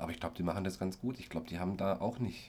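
A man with a very deep, low pitch and vocal fry at a very fast pace. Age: 30s. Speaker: care worker and actor, podcast co-host. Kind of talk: casual chat.

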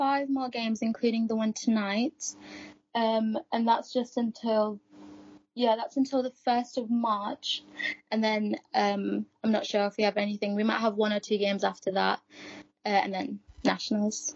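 Somewhat breathy and fairly high in pitch, a woman speaks at a fairly slow pace with ordinary pitch variation. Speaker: student ice hockey player. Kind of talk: interview answers.

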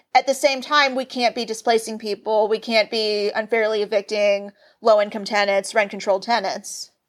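Speaking in a normal speaking voice with an American accent, a woman keeps a moderate pace and fairly even intonation. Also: fairly high pitch for a woman, very clean recording, silent background. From US South, Nashville, Tennessee. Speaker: political activist, neighborhood council member. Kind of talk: podcast interview.

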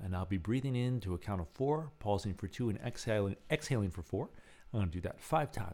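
The clip is simply plain reading aloud.

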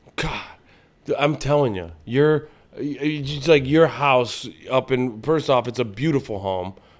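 Speaking with a Midwestern American accent, a man uses a medium pitch, ordinary pitch variation and a fairly slow pace. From Ohio, Lorain near Cleveland. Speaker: comedian. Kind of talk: casual chat.

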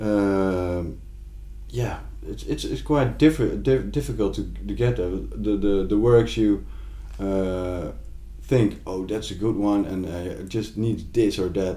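A man's very deep, low, dark and mellow voice with a Dutch accent, very wide pitch swings and a fairly slow pace, with audible room echo. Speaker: visual artist. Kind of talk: casual chat. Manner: halting.

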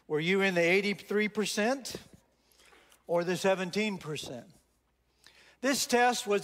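With a Texan accent, a man speaks at a fairly slow pace. His pitch is high, with ordinary variation. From Texas. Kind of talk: sermon. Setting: church with congregation.

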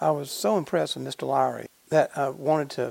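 A man with a Southern US accent talks at a fairly quick pace in a fairly high pitch. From Georgia, US South. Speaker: podcast host, music museum. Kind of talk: interview, casual chat.

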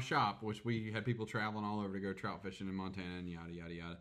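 The delivery is very fast, in an American accent. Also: man. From US South. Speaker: podcast co-host. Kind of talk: casual chat.

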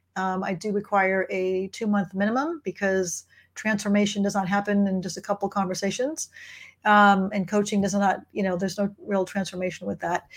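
Somewhat breathy and fairly quick, a woman speaks at a medium pitch with fairly even intonation. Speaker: financial coach. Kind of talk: live online office hours Q&A chat. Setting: live video stream on social media. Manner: fast talker.

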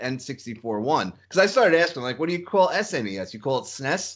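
In a plain, everyday voice, a man with a fairly high pitch speaks at a fairly quick pace with lively intonation over a quiet background. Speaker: podcast host. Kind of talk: casual chat.

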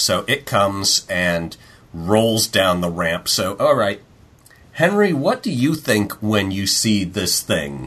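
Very slowly, a man speaks in a fairly low pitch. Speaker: tabletop game master. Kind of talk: game narration; casual chat. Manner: judgy-sounding.

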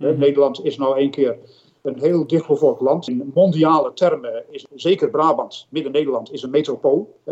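Moderately paced speech from a man, its loudness rising and falling in big swings. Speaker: retiring director of a nature conservation foundation. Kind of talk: interview. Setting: video call. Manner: animated.

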